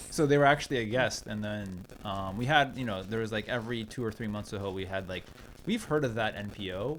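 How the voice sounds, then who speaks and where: A man with a fairly low pitch speaks in an animated tone. His pace is fairly quick and his pitch variation ordinary. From Oregon, USA. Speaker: podcast host and producer. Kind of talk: podcast interview questions. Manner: casual, animated.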